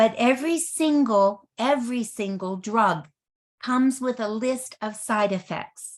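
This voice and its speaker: A woman speaks fairly slowly in a normal speaking voice, pitched fairly high. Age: 60s. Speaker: network marketing presenter. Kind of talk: sales presentation.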